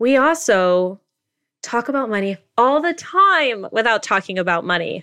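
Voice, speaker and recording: The voice has a bright, sharp tone with very wide pitch swings. The background is quiet. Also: woman, fairly high pitch for a woman, moderate pace. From Asia. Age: 30s. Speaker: personal finance author. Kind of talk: interview.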